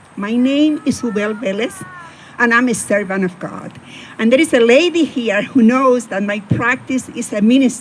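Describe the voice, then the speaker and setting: The speaker has a strong Spanish accent and talks at a moderate pace with ordinary pitch variation. Noticeable background noise runs underneath. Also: woman, fairly high pitch for a woman. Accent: heavy Spanish. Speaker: attorney. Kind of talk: personal storytelling talk.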